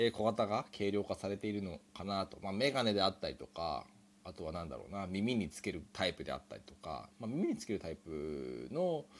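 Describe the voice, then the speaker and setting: A man's fairly low voice with vocal fry, lively intonation, big swings in loudness and a fairly quick pace, in a very clean recording with a silent background. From Japan. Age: 30s. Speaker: podcaster. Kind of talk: solo improvised monologue. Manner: hesitant, many fillers.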